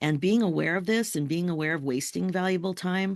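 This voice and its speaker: A woman speaks with vocal fry and ordinary pitch variation. The background is quiet. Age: 60s. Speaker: life coach. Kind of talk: interview conversation.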